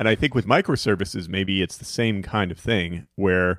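Close and dry with no echo, the recording captures a man with a plain, everyday voice, fairly low in pitch, with ordinary pitch variation and a fairly quick pace. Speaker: podcast co-host. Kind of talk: casual chat. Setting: live online Q&A.

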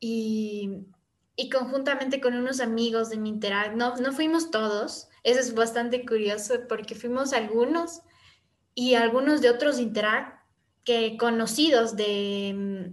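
In a room with audible echo, a woman speaks at a fairly slow pace. Her pitch is fairly high and her intonation fairly even. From Ecuador, Quito. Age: young. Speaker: youth service club member. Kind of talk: casual interview chat.

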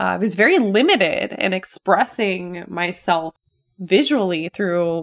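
An unremarkable speaking voice with lively intonation comes through in a dry, close sound with no echo on a very clean recording with a silent background. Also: woman. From Ohio and California, US. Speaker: hairstylist podcast host. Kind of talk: personal monologue.

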